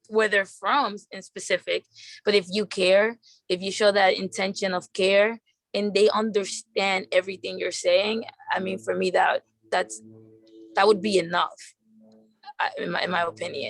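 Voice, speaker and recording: The recording sounds dry and close, with no echo. A woman talks at a moderate pace, stopping often for long pauses. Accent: Spanish. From Dominican Republic / New York. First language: Spanish. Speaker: advocate. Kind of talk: webinar discussion.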